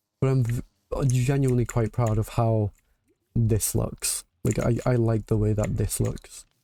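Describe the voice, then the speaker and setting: On a very clean recording with a silent background, a man with a northeastern English accent speaks fairly slowly at a medium pitch, his dark, mellow tone keeping a monotone, flat intonation and very even loudness. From northeast England. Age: 20s. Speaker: gaming streamer. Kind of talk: casual live-stream chat. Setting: live stream.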